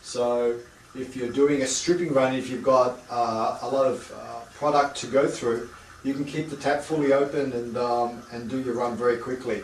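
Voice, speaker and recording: With an Australian accent, a man talks at a moderate pace in a medium pitch and monotone, flat intonation, amid noticeable background noise and audible room echo. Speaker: home distilling equipment seller. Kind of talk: product demonstration. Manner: halting, many fillers and repeats.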